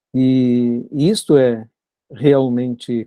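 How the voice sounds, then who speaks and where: The man's medium-pitched voice has a dark, mellow tone. The sound is dry and close, with no echo. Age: 70s. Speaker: Buddhist monk and author. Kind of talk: reflective conversation.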